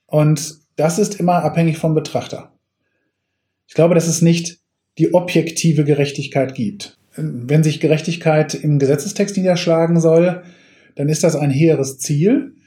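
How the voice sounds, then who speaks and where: Talking at a fairly slow pace, a man with a plain, everyday voice keeps a fairly high pitch and fairly even intonation. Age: 40s. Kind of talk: expert interview.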